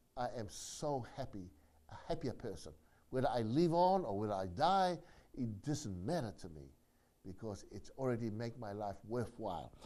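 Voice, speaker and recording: A man speaks at a moderate pace in a medium pitch, his tone dark and mellow. His pitch swings very widely and his loudness rises and falls sharply, with audible echo from the room. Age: 60s. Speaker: community organization leader. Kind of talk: monologue address. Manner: repetitive, halting.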